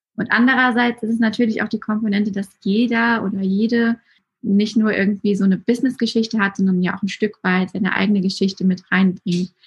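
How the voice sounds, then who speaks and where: Somewhat breathy and fairly high-pitched, a woman speaks at a fairly quick pace in a monotone, flat intonation. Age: 20s. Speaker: Instagram storytelling coach. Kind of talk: casual chat.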